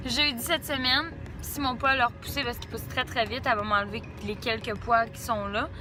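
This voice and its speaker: Music plays in the background as a woman speaks at a high pitch. Her loudness swings widely. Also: ordinary pitch variation, fairly quick pace. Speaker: vlogger. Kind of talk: vlog monologue. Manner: hesitant, many fillers.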